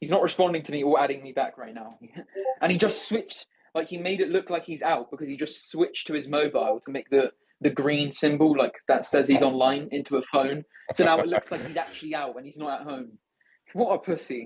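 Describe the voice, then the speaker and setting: A man with an English accent at a fairly quick pace, animated in tone, his voice fairly high, with ordinary pitch variation and big swings in loudness. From England. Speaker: discord space host. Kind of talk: heated debate. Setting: online voice chat.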